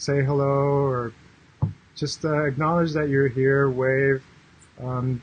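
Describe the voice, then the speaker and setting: A man with a medium pitch talks at a moderate pace in a monotone, flat intonation amid noticeable background noise. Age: 60s. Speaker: life coach. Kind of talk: live stream monologue. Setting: Facebook live broadcast. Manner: halting, many fillers.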